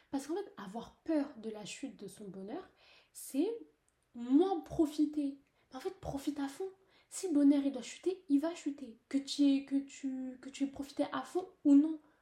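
A woman with a high pitch talks at a fairly slow pace with lively intonation. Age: young. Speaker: podcaster. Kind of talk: personal monologue. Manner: hesitant, many fillers. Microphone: poor recording.

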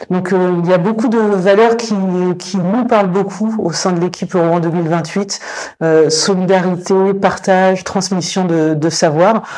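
Against noticeable background noise, a woman speaks at a very slow pace. Her intonation is fairly even. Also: medium pitch for a woman. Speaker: cultural project director. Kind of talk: interview. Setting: on location. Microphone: distorted lavalier mic.

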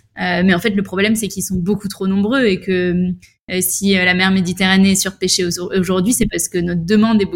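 Somewhat breathy and medium-pitched, a woman's voice moves at a fairly quick pace. Her intonation is monotone and flat. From western France, La Rochelle. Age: 20s. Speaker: environmental association co-founder. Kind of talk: interview conversation.

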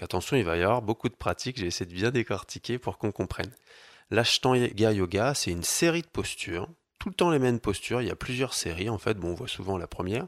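Dry, close and echo-free, this very clean recording with a silent background captures a man with an unremarkable speaking voice, fairly low pitch, lively intonation and a fairly quick pace. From France, Paris. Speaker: yoga teacher. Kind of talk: casual interview.

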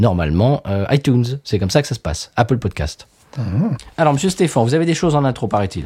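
In a very clean recording with a silent background, a man speaks with a dark, mellow tone, a somewhat breathy quality, and very wide pitch swings. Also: medium pitch for a man, fairly quick pace. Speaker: podcast co-host, beer reviewer. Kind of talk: casual chat. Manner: animated.

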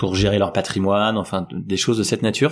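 A man talks at a moderate pace. His intonation is fairly even. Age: 40s. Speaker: tech company founder. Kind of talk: interview. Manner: hesitant, many fillers.

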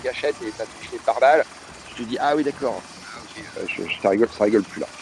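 A man speaks fairly quickly while noticeable background noise carries on behind him. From France and Mexico (Paris, childhood in Mexico). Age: 40s. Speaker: journalist. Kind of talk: casual interview. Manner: hesitant, many repetitions and fillers.

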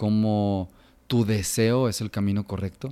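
Against a silent background in a very clean recording, a man with a Jalisco accent speaks at a fairly slow pace. His tone is dark and mellow, his pitch fairly low, and his intonation monotone and flat. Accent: Mexican Spanish, Jalisco. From Mexico, Guadalajara (Jalisco). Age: 30s. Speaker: designer and kombucha entrepreneur. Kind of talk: interview conversation.

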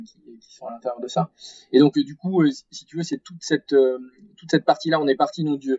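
Talking at a fairly quick pace, a man leaves long, frequent pauses, and his loudness swings widely. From south-west France, Arcachon basin. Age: 40s. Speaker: entrepreneur. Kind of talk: interview conversation. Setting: remote call. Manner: halting, many fillers.

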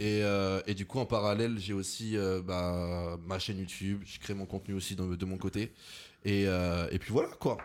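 Delivered in an unremarkable speaking voice, the speech has fairly even intonation at a moderate pace. The recording is very clean, with a silent background. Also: man, fairly low pitch for a man. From France, Lyon. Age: 20s. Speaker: content creator. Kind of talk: casual chat.

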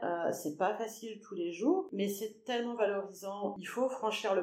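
Her pitch moves in an ordinary way. The woman's speed is moderate. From western France (Angers, Anjou). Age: 50s. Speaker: social care worker, former secretary. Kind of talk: interview. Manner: hesitant.

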